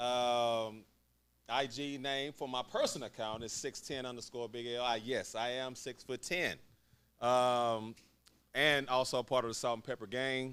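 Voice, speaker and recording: Loud, bright, sharp speech at a moderate pace with flat, monotone intonation. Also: man, medium pitch for a man. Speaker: podcast panelist, former pro basketball player. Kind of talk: casual chat.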